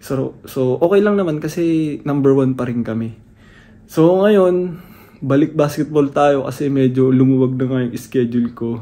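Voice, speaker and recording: This man has a dark, mellow tone and a fairly high pitch, speaking at a moderate pace with ordinary pitch variation. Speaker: vlogger and amateur basketball player. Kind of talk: casual vlog. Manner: hushed, lowered voice.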